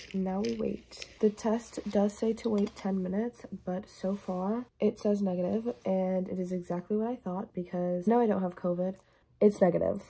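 The woman's voice has a dark, mellow tone with some breathiness. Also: fairly even intonation, moderate pace. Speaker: vlogger. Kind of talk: casual vlog chat. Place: home room. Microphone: phone near.

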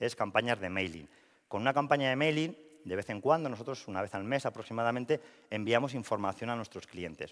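Against a quiet background, the voice moves at a fairly quick pace with lively intonation. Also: man. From La Rioja, Spain (Logroño); La Rioja, Spain. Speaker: marketing and communications professional; speaker. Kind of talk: presentation talk. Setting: stage with audience. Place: hall. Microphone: headset.

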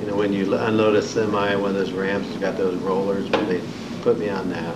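A man with an American accent over loud background noise. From Indiana, US Midwest. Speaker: Vietnam War veteran. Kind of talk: oral history interview, recalling war experiences and wounds. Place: meeting room.

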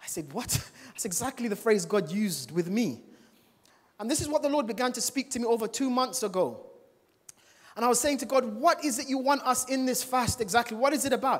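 Over a quiet background, a man with an extremely high pitch talks fairly quickly in an animated tone, his pitch varying in an ordinary way. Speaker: preacher. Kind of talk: sermon. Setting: church with congregation. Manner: animated, exhorting the congregation with call-and-response; humorous, casual asides. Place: church. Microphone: handheld.

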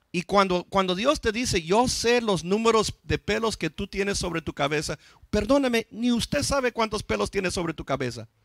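With lively intonation and a high pitch, a man talks at a moderate pace. His sound is dry with no echo, set against a quiet background. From US, East Los Angeles; Los Angeles. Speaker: pastor; preacher. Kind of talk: sermon. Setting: church. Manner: halting, frequent repetitions. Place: church. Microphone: handheld.

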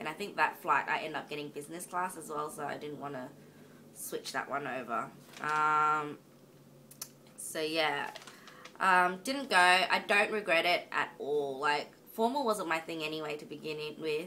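In an Australian accent, the voice has a bright, sharp tone, a moderate pace, ordinary pitch variation, big swings in loudness and long, frequent pauses. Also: woman, very deep, low pitch for a woman. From Australia, Northern Territory. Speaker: vlogger. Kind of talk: casual vlog monologue. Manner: halting, many ums.

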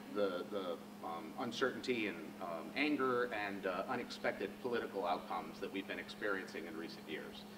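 A fairly low male voice with ordinary pitch variation, at a moderate pace over noticeable background noise. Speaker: economist; speaker. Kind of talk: lecture. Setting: stage with audience. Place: hall.

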